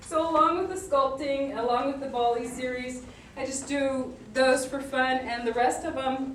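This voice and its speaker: A woman with a high voice speaks fairly slowly with ordinary pitch variation, over noticeable background noise and audible room echo. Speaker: portrait painter. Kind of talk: lecture. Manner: animated.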